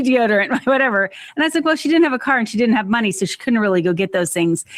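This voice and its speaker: Very clean audio of a woman, with a silent background. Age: 50s. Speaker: organization expert and author. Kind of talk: podcast interview. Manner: animated.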